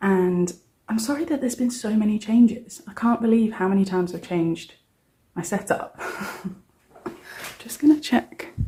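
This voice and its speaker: A soft-spoken woman with a British accent, fairly high in pitch, somewhat breathy and dark and mellow in tone, with lively intonation, a moderate pace and long, frequent pauses. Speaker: cash budgeting vlogger. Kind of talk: casual vlog. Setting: at home, early morning. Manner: quiet, soft-spoken.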